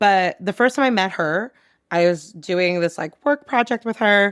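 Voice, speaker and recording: Loud and animated, a woman with a fairly high pitch speaks at a moderate pace on a very clean recording with a silent background. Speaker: comedian and advertising worker. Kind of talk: casual chat.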